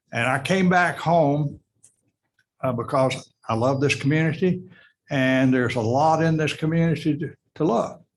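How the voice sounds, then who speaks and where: A man at a fairly high pitch, with ordinary pitch variation, a moderate pace, and long, frequent pauses. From US South. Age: 80s+. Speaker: heritage preservation representative. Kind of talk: public comment at city meeting. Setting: city council meeting.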